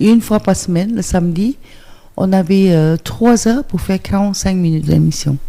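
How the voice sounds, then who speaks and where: Her dark, mellow tone holds very even loudness as a woman speaks at a moderate pace with ordinary pitch variation. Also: medium pitch for a woman. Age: 60s. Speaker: interview guest, former TV presenter and technician. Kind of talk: radio interview. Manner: hesitant, many fillers.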